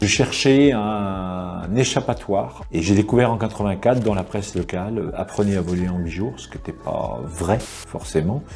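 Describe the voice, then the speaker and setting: A man's fairly low voice at a moderate pace, with lively intonation and big swings in loudness, music in the background. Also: hardly any pauses. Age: 60s. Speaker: ultralight pilot and instructor. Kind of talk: interview. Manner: hesitant, with filler words.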